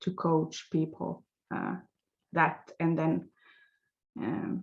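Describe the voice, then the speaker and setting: A woman with a Swedish accent talks at a very slow pace. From Finland. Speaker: life coach, former nurse. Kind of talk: interview. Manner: halting, many fillers.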